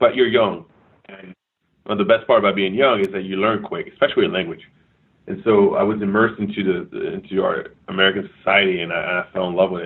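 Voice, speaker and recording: The man's volume rises and falls sharply. He speaks very fast. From France, Paris area; moved to US at 11. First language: French. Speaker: retired army officer, war veteran. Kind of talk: interview.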